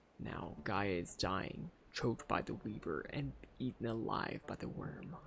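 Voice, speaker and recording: A man performs a put-on character voice pitched very deep and low, with clear background noise behind him. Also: moderate pace. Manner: wailing.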